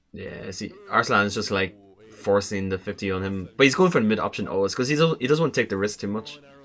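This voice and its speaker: A man with an Irish accent, fairly low-pitched, talking at a very fast pace over noticeable background noise. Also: ordinary pitch variation. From Ireland. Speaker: esports player and commentator. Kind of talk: gameplay analysis commentary.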